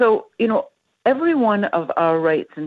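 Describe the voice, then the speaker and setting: A woman with a plain, everyday voice and a Canadian accent, lively intonation and a fairly slow pace. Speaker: civil liberties educator. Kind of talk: interview. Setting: phone call.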